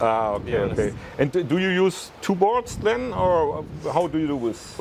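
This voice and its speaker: There is noticeable background noise as a man speaks at a fairly slow pace. His fairly high voice makes very wide pitch swings. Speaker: interviewer, channel host. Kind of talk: interview questions.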